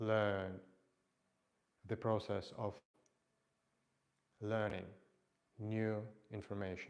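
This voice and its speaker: With a non-native accent, a man talks at a very slow pace and fairly low pitch, leaving long, frequent pauses. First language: not English. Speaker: fitness instructor. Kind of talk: live workout stream talk. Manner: halting.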